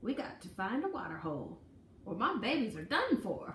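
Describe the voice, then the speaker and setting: A woman speaks in a put-on character voice at a fairly high pitch, with very wide pitch swings and a moderate pace. There is a slight echo and light background noise. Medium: read story. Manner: folksy, fretful.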